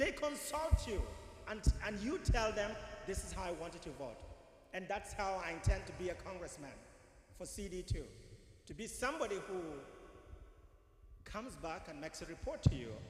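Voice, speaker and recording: A high-pitched man talks at a moderate pace with very wide pitch swings, big swings in loudness and long, frequent pauses over noticeable background noise. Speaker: political candidate. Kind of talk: campaign speech.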